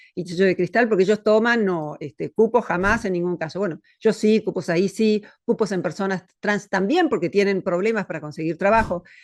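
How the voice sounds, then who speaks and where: Against a quiet background, a woman speaks in a plain, everyday voice at medium pitch with ordinary pitch variation. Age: 60s. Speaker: philosopher. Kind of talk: interview conversation.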